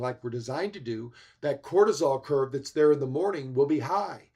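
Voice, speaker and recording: With an ordinary speaking voice, a man talks at a fairly quick pace and a fairly high pitch, his pitch varying in an ordinary way. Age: 60s. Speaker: health expert speaker. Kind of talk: summit presentation. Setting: livestream.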